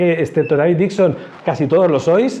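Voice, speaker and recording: A man speaks in a high-pitched voice. Noticeable background noise sits behind him. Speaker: church union director. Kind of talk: talk to theology students. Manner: fast.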